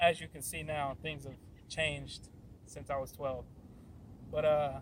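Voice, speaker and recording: The delivery comes at a fairly slow pace and sounds somewhat breathy. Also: man. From western Pennsylvania, Monroeville. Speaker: fitness and faith YouTuber. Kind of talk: unscripted vlog talk. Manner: halting, stuttering.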